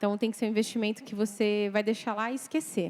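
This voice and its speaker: The speaker is a woman with a fairly high pitch. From Brazil, Mogi das Cruzes, São Paulo. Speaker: financial planner. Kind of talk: lecture.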